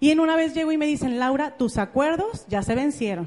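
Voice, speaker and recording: A woman with a Mexican accent speaks at a moderate pace in an animated tone with lively intonation. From Mexico, Jalisco (Ameca, near Guadalajara). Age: 30s. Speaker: motivational speaker, network marketing entrepreneur. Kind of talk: motivational talk. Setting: stage with audience.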